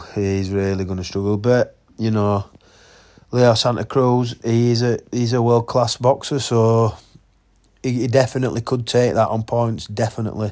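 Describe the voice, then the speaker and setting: With a Yorkshire accent, a man speaks at a moderate pace in a dark, mellow tone, his medium pitch following fairly even intonation. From Yorkshire, England. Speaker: boxing podcast host. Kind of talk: casual solo podcast commentary. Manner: casual, halting with fillers.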